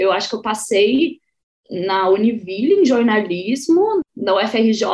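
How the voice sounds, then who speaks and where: With a normal speaking voice, a woman speaks at a fairly slow pace in a fairly high pitch, showing ordinary pitch variation. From Santa Catarina, Brazil (Joinville). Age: 20s. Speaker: podcaster, guest. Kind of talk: casual chat.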